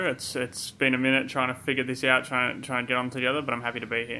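A man talks at a very fast pace with an Australian accent. His pitch sits in the medium range. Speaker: basketball writer and podcaster. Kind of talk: podcast interview.

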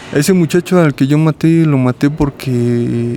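A man with a fairly high-pitched voice is heard against noticeable background noise. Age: 30s. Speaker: prison inmate with schizophrenia. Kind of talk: interview testimony. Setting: psychiatric prison center.

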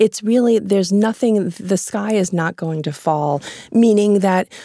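In a plain, everyday voice, a woman talks at a fairly slow pace with ordinary pitch variation, the sound dry and close with no echo. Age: 40s. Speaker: author and journalist. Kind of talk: interview. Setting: studio.

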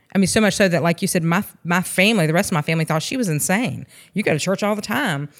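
A woman with a Georgia accent, fairly low in pitch, at a very fast pace with ordinary pitch variation. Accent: US Southern (Georgia). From rural Georgia (Sandersville). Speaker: former alcoholic, ministry co-leader. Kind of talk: testimony.

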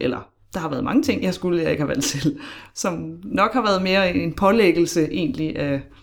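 A woman's fairly low-pitched voice with vocal fry and lively intonation. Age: 30s. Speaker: podcast guest sharing personal story. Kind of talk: casual interview conversation.

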